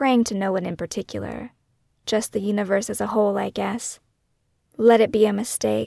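A woman's warm tone at a moderate pace, in a very clean recording with a silent background and a dry, close sound with no echo. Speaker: podcast host and true crime author. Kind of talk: first-person true-crime memoir narration, scripted and reflective. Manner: measured, somber, introspective narration; warm, direct, conversational in the intro and outro.

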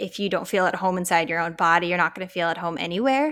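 A woman of medium pitch with an American accent, in a very clean recording with a silent background. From Colorado, US. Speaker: author and podcaster. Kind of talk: interview testimony. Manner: casual, laughs often.

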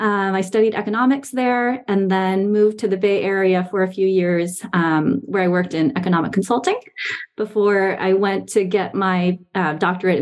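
With an ordinary speaking voice, a woman talks at a medium pitch, using ordinary pitch variation and very even loudness. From Taiwan, from age seven; born in US Northeast. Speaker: business professor. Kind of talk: interview on a webinar. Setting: live webinar with online audience.

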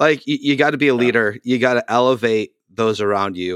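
A man with an American accent and a plain, everyday voice, medium pitch, moderate pace, on a very clean recording with a silent background and a dry, close sound with no echo. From US Northeast (Boston area). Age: 40s. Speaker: podcast host, youth pastor. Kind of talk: casual interview.

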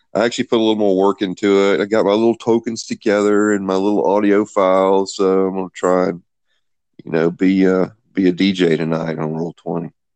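Recorded dry and close with no echo against a quiet background, a man speaks fairly quickly with a fairly low pitch and fairly even intonation. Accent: Southern US. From US South, Greenville, South Carolina. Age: 50s. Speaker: game designer and writer. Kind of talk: casual chat.

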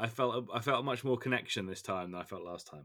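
The speaker has an English accent, a moderate pace and ordinary pitch variation. The recording is very clean, with a silent background. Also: man. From England. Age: 30s. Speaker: podcast host. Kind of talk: casual chat.

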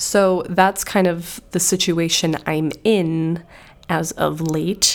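Soft-spoken, this woman has a fairly low pitch and fairly even intonation. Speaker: podcast host. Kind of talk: casual solo monologue. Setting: home recording.

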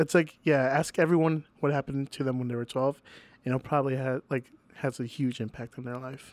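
In a very clean recording with a silent background and a dry, close sound with no echo, a normal speaking voice with an American accent goes at a fairly quick pace with fairly even intonation. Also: man, medium pitch for a man. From Venezuela, then Chicago area US. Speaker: musician and Salvation Army member. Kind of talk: casual chat.

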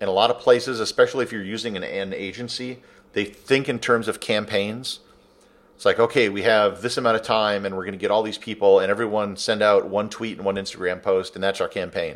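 At a fairly quick pace, a man with a fairly low pitch talks in a flat monotone. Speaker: travel blogger and photographer. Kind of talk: interview. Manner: blunt, direct.

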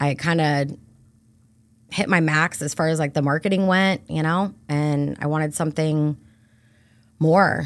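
In a very clean recording with a silent background, a woman with an American accent speaks at a fairly slow pace with long, frequent pauses, her very deep, low pitch held in fairly even intonation. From Brandon, Florida. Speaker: realtor. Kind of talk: casual chat.

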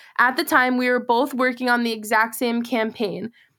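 Delivered with an American accent at a moderate pace, an unremarkable speaking voice comes through on a very clean recording with a silent background. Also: woman. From Massachusetts. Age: 20s. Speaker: podcast host and content creator. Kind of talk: personal storytelling monologue.

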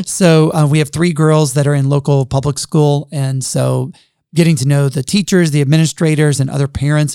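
This is a man with an American accent. The sound is dry and close, with no echo. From US South, Jackson, Mississippi. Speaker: university president. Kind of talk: podcast interview.

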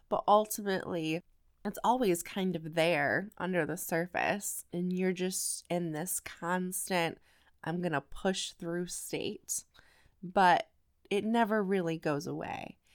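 On a very clean recording with a silent background, a woman speaks at a medium pitch. Her pace is very slow and her intonation fairly even. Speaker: podcast host and life coach. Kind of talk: solo motivational podcast talk. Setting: at home, family asleep. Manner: loud talker.

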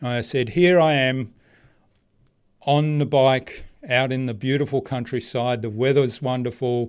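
Against a quiet background, a man with an Australian accent speaks at a fairly slow pace and medium pitch with fairly even intonation and long, frequent pauses. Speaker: marketing strategist. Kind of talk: interview conversation.

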